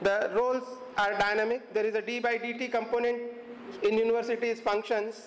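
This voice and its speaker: With an extremely high pitch for a man, he speaks at a fairly quick pace in a monotone, flat intonation. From India. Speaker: head of university department; event host introducing guest speaker. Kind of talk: formal introduction speech. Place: classroom. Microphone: podium.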